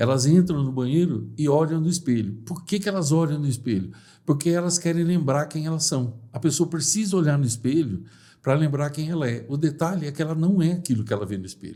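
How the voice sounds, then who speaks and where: Lively in intonation, a man speaks with a fairly high pitch and a dark, mellow, somewhat breathy tone. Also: fairly quick pace. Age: 60s. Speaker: personal development speaker. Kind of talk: podcast interview.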